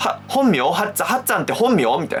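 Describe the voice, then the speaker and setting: Music runs behind a man talking at a very fast pace. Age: 20s. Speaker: rakugo storyteller. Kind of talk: casual explainer talk to camera.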